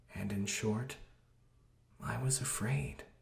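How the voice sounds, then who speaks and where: Noticeable background noise sits behind a man speaking at a fairly slow pace. His fairly low voice carries lively intonation. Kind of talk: poetry reading.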